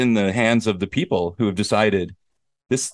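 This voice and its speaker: Over a quiet background, a plain, everyday voice speaks at a moderate pace with ordinary pitch variation. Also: man. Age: 40s. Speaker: podcast host and teacher in Korea. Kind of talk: casual chat.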